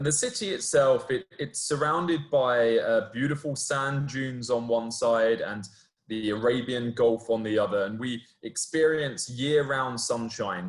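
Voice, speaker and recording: With a British accent, a man speaks at medium pitch and a moderate pace, barely pausing. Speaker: university student recruiter. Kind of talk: webinar presentation.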